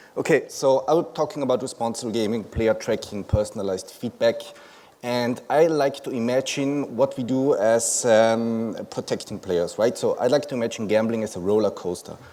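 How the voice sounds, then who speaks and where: With a German accent, a man speaks in a dark, mellow tone with ordinary pitch variation. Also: medium pitch for a man, moderate pace. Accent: German-speaking accent in English. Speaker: conference speaker, company founder. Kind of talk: conference presentation. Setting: stage with audience. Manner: many filler words.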